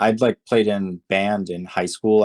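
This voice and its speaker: A man with an American accent talks in a monotone, with flat intonation. The sound is dry and close, with no echo. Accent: American, little foreign trace. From Turkey, moved to US at ten. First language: Turkish. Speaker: music producer. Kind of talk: interview. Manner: halting, many fillers.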